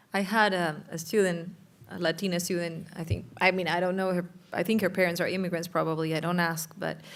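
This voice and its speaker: A woman with a strong Uruguayan accent talks at a fairly quick pace, her fairly low pitch monotone and flat. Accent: thick Spanish (Uruguayan). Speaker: journalism professor. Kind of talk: panel discussion.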